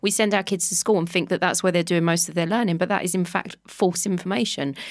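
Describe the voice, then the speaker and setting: A woman with a London accent speaks at a very fast pace. Her pitch is fairly low, and the recording is very clean with a silent background. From London (Walthamstow). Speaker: Pilates instructor and podcaster. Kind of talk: casual chat. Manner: animated, laughs often.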